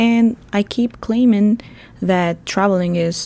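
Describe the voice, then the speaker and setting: A woman speaks with a Bulgarian accent in a dark, mellow tone. Her pace is fairly slow and her intonation fairly even. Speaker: travel podcast host. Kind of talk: podcast monologue. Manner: chatty, talkative.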